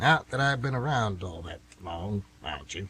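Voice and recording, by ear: Using a put-on character voice, the speaker goes at a fairly slow pace with a bright, sharp tone, a slightly husky edge and lively intonation. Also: man, fairly low pitch for a man.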